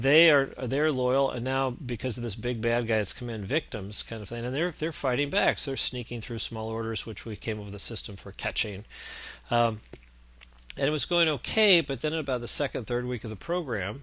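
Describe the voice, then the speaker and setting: A man's medium-pitched voice at a fairly quick pace, with ordinary pitch variation and a bright, sharp tone. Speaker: business consultant. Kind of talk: lecture. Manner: fast.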